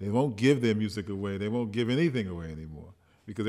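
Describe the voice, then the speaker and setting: In a normal speaking voice with an American accent, the speaker talks at a fairly quick pace with lively intonation. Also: man. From United States. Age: 40s. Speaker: filmmaker and documentary producer. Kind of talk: public forum talk.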